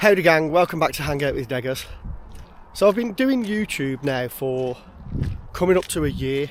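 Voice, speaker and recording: With a West Midlands accent, the speaker moves at a moderate pace with lively intonation. Long, frequent pauses break up the speech. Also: man, fairly high pitch for a man. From West Midlands, England. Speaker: outdoors vlogger. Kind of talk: casual vlog monologue. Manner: hesitant, filler words.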